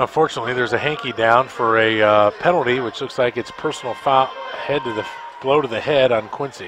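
Over noticeable background noise, a man speaks at a fairly quick pace with ordinary pitch variation in a dry sound with no echo. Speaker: radio color analyst, former player. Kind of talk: live radio sports commentary, analyst breakdown of plays. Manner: conversational, opinionated, with fillers. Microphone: headset.

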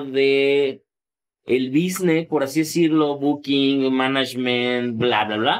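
Very slowly, a man talks with fairly even intonation. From Mexico, Tepic, Nayarit; Nayarit, Mexico. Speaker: electronic music producer and painter; interviewee. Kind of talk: casual interview. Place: studio. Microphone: studio mic.

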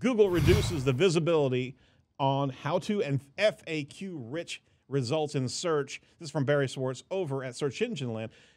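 Behind the speech, things are quiet. The man keeps a moderate pace and his pitch varies in an ordinary way. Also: big swings in loudness. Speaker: podcast host. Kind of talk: news commentary. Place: studio. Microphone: studio mic.

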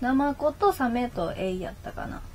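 A woman with an Osaka accent talks over light background noise. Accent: Kansai (Osaka) Japanese. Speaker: internet radio host. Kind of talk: casual chat, live stream. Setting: live stream with chat comments. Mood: relaxed, cheerful. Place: home room. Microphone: webcam.

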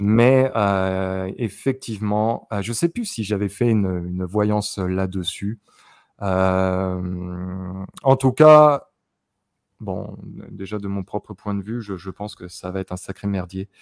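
A man's fairly low voice with ordinary pitch variation, at a very slow pace. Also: quiet background, dry sound with no echo. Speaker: YouTuber psychic. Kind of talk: casual chat with clairvoyant readings. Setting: video recording with screen backdrop. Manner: many filler sounds and hesitations. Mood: calm, reflective. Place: home room. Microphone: studio mic.

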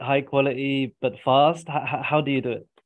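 A man talks at a moderate pace and medium pitch. There is little pitch movement.

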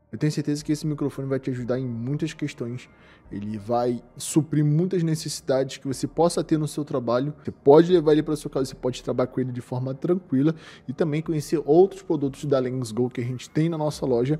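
The speech comes at a very fast pace with ordinary pitch variation. Music plays in the background. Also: man, fairly high pitch for a man. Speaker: shop presenter reviewing products. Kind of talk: product review tutorial. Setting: studio.

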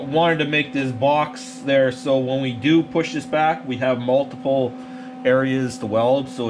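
Faint music sits in the background. A man speaks at a fairly slow pace with fairly even intonation. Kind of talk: casual workshop tutorial. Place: workshop. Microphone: phone near.

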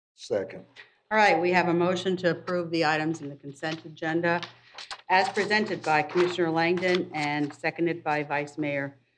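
A woman with a normal speaking voice talks at a moderate pace and fairly low pitch, with light background noise. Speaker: meeting chair (mayor). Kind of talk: formal meeting chairing. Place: hall. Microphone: podium.

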